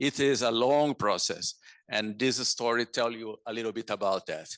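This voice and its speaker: This man talks at a moderate pace with medium pitch and fairly even intonation, recorded with a dry, close sound and no echo. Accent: Portuguese. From Brazil, São Paulo. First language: Portuguese. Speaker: conservation director. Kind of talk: lecture. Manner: halting, many fillers.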